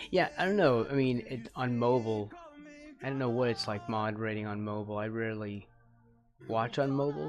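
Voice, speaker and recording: Fairly quick speech with ordinary pitch variation over music in the background. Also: man, medium pitch for a man. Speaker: digital artist streaming live. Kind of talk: casual live-stream chat while painting. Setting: live stream. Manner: hesitant, with false starts.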